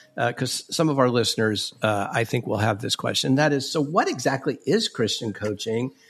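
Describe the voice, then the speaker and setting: This man has a plain, everyday voice at a medium pitch. He moves at a fairly quick pace with ordinary pitch variation. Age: 60s. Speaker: bishop and podcast host. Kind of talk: casual interview conversation.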